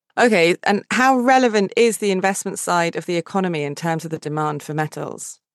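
In an unremarkable speaking voice, a woman talks at a fairly quick pace with hardly any pauses, medium pitch and lively intonation. The sound is dry and close with no echo, over a quiet background. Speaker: podcast host. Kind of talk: scripted interview.

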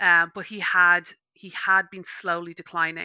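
In an Irish accent, a woman speaks in a monotone, flat intonation with a fairly low pitch and a bright, sharp tone, the sound dry and close with no echo. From Ireland. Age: 30s. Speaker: meditation teacher. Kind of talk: casual interview. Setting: online call.

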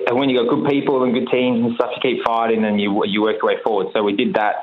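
Over noticeable background noise, the talking moves at a fairly quick pace. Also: man. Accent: Australian. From Australia. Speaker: racing car driver. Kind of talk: radio interview. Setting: phone call.

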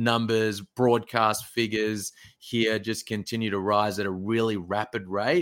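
Someone with an Australian accent speaks at a fairly slow pace on a very clean recording with a silent background. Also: man. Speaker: basketball recruitment manager and former player. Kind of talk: interview.

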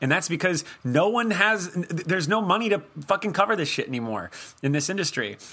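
The speech moves at a fairly quick pace with lively intonation. Noticeable background noise runs underneath. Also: man, high pitch for a man. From Miami. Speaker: horror podcast co-host. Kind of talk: casual chat.

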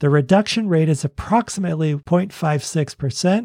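In a dry, close sound with no echo and a quiet background, a man with an American accent speaks in a fairly high pitch and a dark, mellow tone. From Boston, US. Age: 60s. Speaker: personal finance podcaster. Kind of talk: podcast monologue, educational talk.

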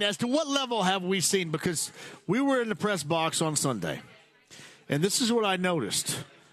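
The voice moves through very wide pitch swings against noticeable background noise. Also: man. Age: 50s. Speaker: sports radio host. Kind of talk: sports talk radio. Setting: live remote broadcast at a tavern.

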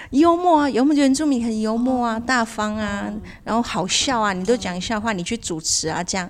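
A normal speaking voice at a fairly quick pace, with lively intonation and hardly any pauses. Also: woman, fairly high pitch for a woman. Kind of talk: casual chat.

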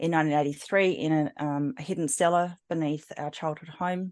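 The speech keeps a moderate pace and fairly even intonation. The background is quiet. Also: woman. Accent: Australian. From South Australia, Adelaide. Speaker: psychic medium. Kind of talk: interview testimony.

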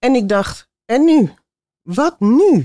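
The sound is dry and close with no echo as a woman talks in a dark, mellow tone. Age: 60s. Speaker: audience member. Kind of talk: audience question and testimony. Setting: theater with audience.

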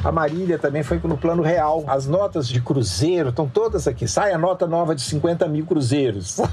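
With noticeable background noise behind him, a man speaks at a moderate pace in a fairly high pitch, his intonation lively and his loudness very even. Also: hardly any pauses. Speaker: journalist and writer. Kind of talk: interview. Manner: talkative.

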